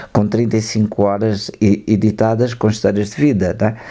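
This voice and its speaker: A man speaks with a dark, mellow tone in a fairly low pitch, with fairly even intonation. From northern Portugal, Trás-os-Montes (Moncorvo). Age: 70s. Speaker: filmmaker and photographer. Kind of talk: radio interview. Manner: halting, with false starts.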